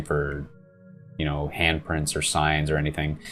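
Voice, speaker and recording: A man speaks with music in the background. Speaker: gaming YouTuber. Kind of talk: gameplay commentary.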